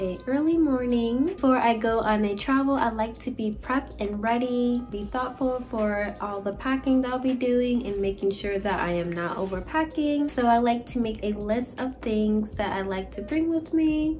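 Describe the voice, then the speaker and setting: A woman at a moderate pace with hardly any pauses and ordinary pitch variation, faint music in the background. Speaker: vlogger. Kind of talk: casual vlog chat. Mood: relaxed, cheerful morning. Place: home room. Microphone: phone near.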